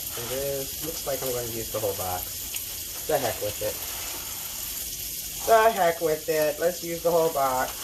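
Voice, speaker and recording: A woman with a very deep, low pitch speaks with lively intonation at a moderate pace. Long, frequent pauses come through over noticeable background noise. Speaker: home cooking video creator. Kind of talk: casual cooking tutorial.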